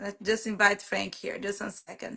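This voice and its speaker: Heard with a non-native accent, the woman speaks on a very clean recording with a silent background. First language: Portuguese. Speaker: real estate agent. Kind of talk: live stream chat. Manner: halting.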